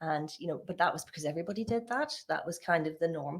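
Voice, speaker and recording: A fairly quick pace in a Northern Irish accent. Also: woman. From Northern Ireland. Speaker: occupational therapist and church discussion host. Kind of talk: personal testimony in casual chat.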